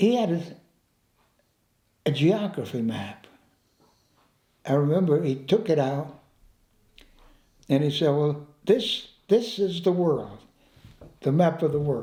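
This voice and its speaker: At a fairly slow pace with long, frequent pauses, a somewhat breathy, dark, mellow voice carries lively intonation amid audible room echo. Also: man, fairly high pitch for a man. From Italy. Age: 90s. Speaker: war veteran. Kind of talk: life story interview. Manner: halting, repeats words.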